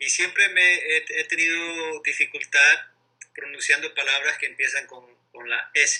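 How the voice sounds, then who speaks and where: This is a man's voice. His delivery is fairly slow. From Ecuador, Guayaquil (coast). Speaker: interviewee, bilingual speaker. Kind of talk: casual interview. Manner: halting, many repetitions and fillers.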